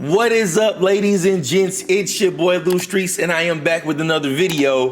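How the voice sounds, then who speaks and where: Over noticeable background noise, a man speaks at a high pitch and moderate pace with hardly any pauses, very even loudness and ordinary pitch variation. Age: 40s. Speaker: gaming content creator. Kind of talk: casual vlog monologue. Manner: conversational, filler-heavy.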